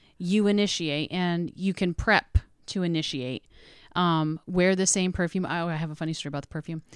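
Recorded very cleanly over a silent background, in a dry, close sound with no echo, a woman speaks at a moderate pace in a fairly low pitch. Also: fairly even intonation. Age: 40s. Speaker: podcast guest, mother. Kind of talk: casual chat. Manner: loud.

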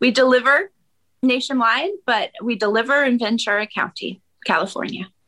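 A woman's high, bright, sharp voice with an American accent, lively intonation and a moderate pace, in a dry, close sound with no echo. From Maine, US. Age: 40s. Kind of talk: casual chat.

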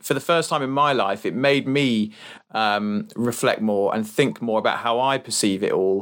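This is a man with a plain, everyday voice at medium pitch. He talks at a moderate pace with ordinary pitch variation. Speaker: podcast co-host. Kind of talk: casual podcast interview.

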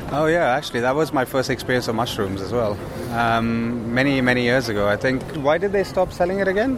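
The speaker goes at a fairly quick pace with lively intonation over noticeable background noise. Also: man, medium pitch for a man. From India. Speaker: food startup co-founder. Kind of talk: casual chat. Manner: halting.

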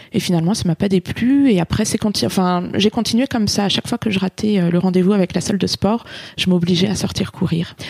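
A somewhat breathy woman's voice of medium pitch, fairly quick, with very even loudness and ordinary pitch variation, in a dry, close sound with no echo. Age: 30s. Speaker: running club captain. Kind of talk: interview testimony.

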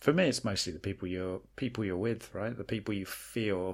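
Recorded very cleanly against a silent background, a man with an American accent talks at a moderate pace in a fairly low voice. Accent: British, shifts toward American abroad. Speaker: podcast co-host. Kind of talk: casual chat. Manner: halting, hesitant.

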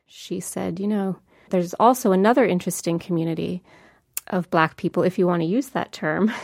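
A woman with an American accent and an unremarkable speaking voice talks at a fairly quick pace in a fairly low pitch, in a very clean recording with a silent background. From New Jersey. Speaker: author. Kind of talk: interview.

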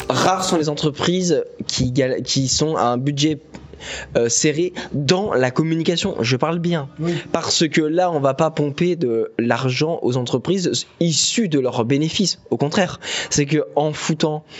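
A man speaks at a fairly slow pace and fairly high pitch. His loudness stays very even over noticeable background noise. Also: ordinary pitch variation. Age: 20s. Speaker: business school student, podcast co-host. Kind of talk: casual chat. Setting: bar basement, phones as mics. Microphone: phone microphone.

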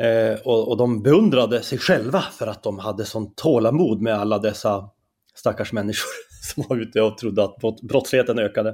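Someone with a Norrland accent talks at a moderate pace. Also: man, medium pitch for a man, ordinary pitch variation. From Norrland, Skellefteå area. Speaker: columnist and debater. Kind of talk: interview conversation. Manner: halting.

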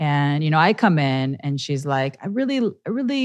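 Pitch swings very widely here. The speaker is a woman. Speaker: yoga teacher and podcast host. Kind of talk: casual monologue. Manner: animated.

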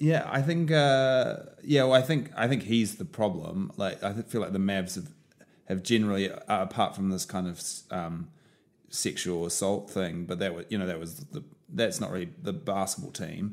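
A man speaks with a New Zealand accent at a fairly low pitch. His pitch swings very widely. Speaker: sports podcast co-host. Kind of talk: casual chat. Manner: slow; quiet.

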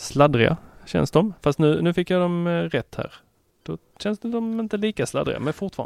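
Recorded with a dry, close sound and no echo, a high-pitched man speaks at a moderate pace with lively intonation. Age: 30s. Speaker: tech podcast guest co-host. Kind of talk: casual chat. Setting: studio.

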